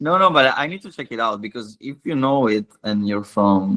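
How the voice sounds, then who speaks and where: A man with an Italian accent speaks with lively intonation in a dry, close recording with no echo. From Italy, Milan. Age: 20s. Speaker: illustrator and skateboarder. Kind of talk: casual interview chat. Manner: halting, repeats words.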